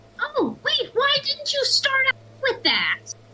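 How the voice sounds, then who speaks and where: The voice is a squeaky, put-on character voice at an extremely high pitch. It moves at a fairly slow pace. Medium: actual play. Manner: blunt, frank.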